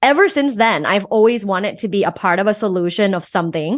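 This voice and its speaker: In a Thai accent, a woman speaks at a moderate pace with lively intonation over a quiet background. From Thailand. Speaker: sex coach and professor. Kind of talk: podcast interview.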